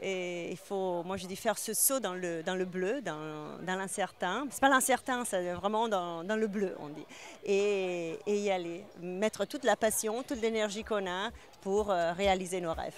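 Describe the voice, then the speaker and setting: A woman with a slight non-native accent speaks fairly slowly at a medium pitch. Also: ordinary pitch variation. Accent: slight foreign. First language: not French (speaking French). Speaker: winemaker and business owner. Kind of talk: interview. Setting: awards event. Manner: hesitant, many fillers.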